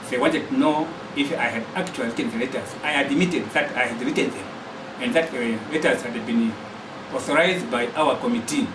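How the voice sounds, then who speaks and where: Speaking fairly quickly with a Zambian accent, a man with a fairly high pitch and lively intonation is heard through audible room echo and noticeable background noise. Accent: Zambian (Lozi) English. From Barotseland, western Zambia. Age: 60s. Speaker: political activist. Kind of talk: testimony.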